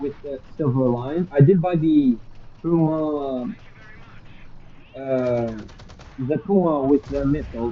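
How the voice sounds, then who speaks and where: The speaker goes at a very slow pace with long, frequent pauses. Noticeable background noise is present. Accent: non-native. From Europe, non-English-speaking country. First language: not English. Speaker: gaming streamer. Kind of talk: live gameplay stream chat. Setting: live stream. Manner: low volume at times when focused.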